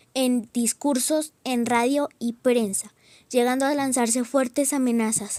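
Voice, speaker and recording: A woman with a high pitch and a dark, mellow tone, at a fairly slow pace with fairly even intonation, in a dry, close sound with no echo on a very clean recording with a silent background. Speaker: student documentary narrator. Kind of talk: scripted narration.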